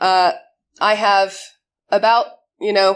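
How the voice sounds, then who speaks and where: This is a woman speaking with an American accent. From United States. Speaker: conference speaker, cyber security community organizer. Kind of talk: conference talk.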